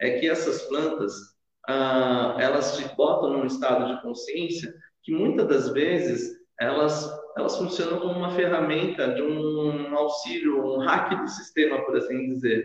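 A man's fairly high voice at a fairly slow pace, ordinary pitch variation, and audible room echo. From Sorocaba, interior São Paulo, Brazil. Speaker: shaman and holistic therapist. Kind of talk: casual interview chat.

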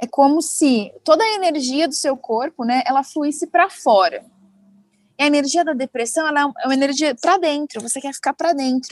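Speaking at a moderate pace, a woman with a high voice shows ordinary pitch variation in a dry, close sound with no echo. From Brazil, interior of São Paulo state. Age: 20s. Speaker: TV reporter. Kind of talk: casual interview chat.

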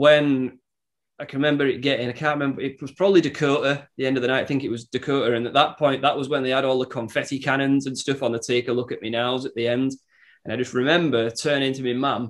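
Speaking with a Cumbrian accent, a man keeps his medium pitch monotone and flat. He goes at a very fast pace. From northern England, Workington, Cumbria. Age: 20s. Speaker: musician. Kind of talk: casual chat.

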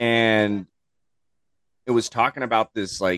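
A man at a very slow pace, fairly even intonation, dry, close sound with no echo. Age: 30s. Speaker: chef, podcast guest. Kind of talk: casual chat.

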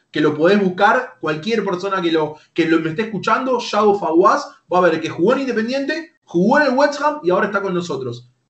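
The speaker talks at a fairly quick pace in an Argentine accent, with very wide pitch swings. Room echo can be heard. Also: man. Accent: Rioplatense Argentine Spanish. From Argentina, Lanús (Buenos Aires). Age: 30s. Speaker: YouTuber and esports team manager. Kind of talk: interview.

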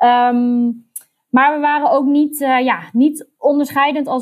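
A woman talks at a fairly slow pace in a high-pitched voice. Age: 30s. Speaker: recruitment marketer. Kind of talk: interview.

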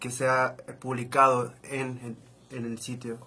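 A man speaks at a medium pitch. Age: 20s. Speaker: journalist. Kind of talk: casual chat.

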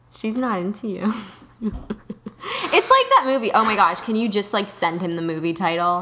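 Amid noticeable background noise, a woman talks at a moderate pace with a medium pitch and ordinary pitch variation. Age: 20s. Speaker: podcast co-host and aspiring actress. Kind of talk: casual chat. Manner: animated.

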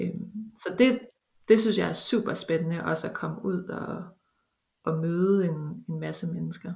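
Vocal fry runs through speech delivered at a fairly slow pace, with ordinary pitch variation and long, frequent pauses. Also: woman, fairly low pitch for a woman. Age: 30s. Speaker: bioinformatics researcher. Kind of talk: interview. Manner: halting, many fillers.

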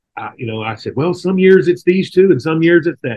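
Speaking with a Texan accent, a man uses lively intonation in a somewhat breathy voice. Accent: Texas Southern American. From Texas, near Houston. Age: 40s. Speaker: rancher. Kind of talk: casual interview.

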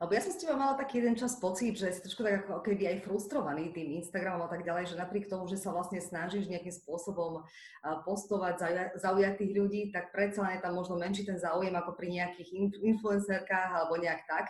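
Noticeable background noise and audible room echo surround the recording. A woman speaks at a very fast pace. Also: medium pitch for a woman, fairly even intonation. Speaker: podcast host. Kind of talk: casual interview.

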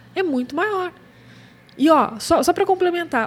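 Noticeable background noise surrounds a woman whose intonation is lively. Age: 40s. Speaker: newborn and family photographer, podcast co-host. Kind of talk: casual chat.

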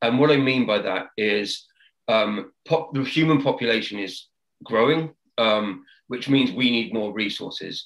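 Speaking with a southern English accent, a man keeps a fairly slow pace. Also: medium pitch for a man, ordinary pitch variation. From UK. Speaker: sustainability business consultant. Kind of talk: interview. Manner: halting, many repetitions and fillers.

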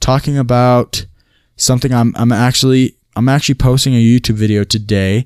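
A man speaks in an unremarkable speaking voice. His pace is moderate and his intonation fairly even. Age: 20s. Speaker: solo podcaster. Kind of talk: casual monologue. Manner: rambling with many fillers.

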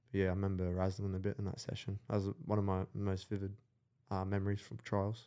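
A man speaks with an Australian accent at a fairly quick pace. His voice is dark and mellow in tone, fairly low in pitch, with fairly even intonation. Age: 20s. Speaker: entrepreneur. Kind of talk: casual chat.

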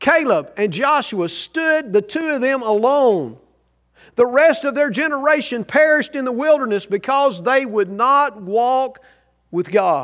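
A man's extremely high voice, with lively intonation and a fairly slow pace, on a very clean recording over a silent background. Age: 60s. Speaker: pastor. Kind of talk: sermon.

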